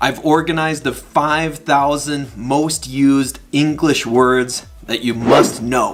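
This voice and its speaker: A man with an American accent talks at a very slow pace in a fairly high pitch. His intonation is fairly even, and music plays in the background. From United States. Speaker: English teacher. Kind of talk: promotional channel introduction. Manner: clear, deliberate.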